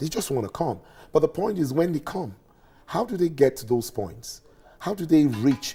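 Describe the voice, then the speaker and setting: The voice is somewhat breathy, with a dark, mellow tone and very wide pitch swings. The recording is very clean, with a silent background. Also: man. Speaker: tourism commentator. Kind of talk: TV interview. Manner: halting.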